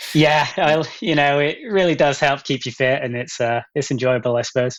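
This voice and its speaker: With an American accent, a man talks at a moderate pace in a fairly high voice with ordinary pitch variation. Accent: English with an American twang. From England, Gloucester. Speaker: elite runner. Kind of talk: podcast interview. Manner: hesitant, many fillers.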